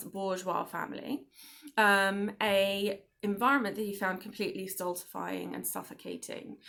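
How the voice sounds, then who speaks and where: Here a woman talks with an English accent. Her tone is bright and sharp. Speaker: book club host. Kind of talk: casual monologue to viewers. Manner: hesitant, many fillers.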